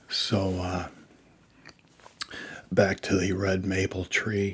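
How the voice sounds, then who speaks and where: A soft-spoken man with a very deep, low pitch, somewhat breathy and relaxed in tone, monotone and flat, at a very slow pace. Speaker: ASMR creator. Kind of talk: casual talk to camera. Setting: studio, close microphone. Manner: soft-spoken, relaxed.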